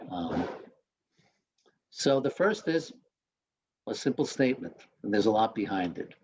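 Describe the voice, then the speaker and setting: At a fairly slow pace, a man talks with a slight Queens accent. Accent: slight Queens, New York. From Queens, New York. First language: Spanish. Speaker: newspaper editor. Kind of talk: talk to students. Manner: hesitant, with many fillers.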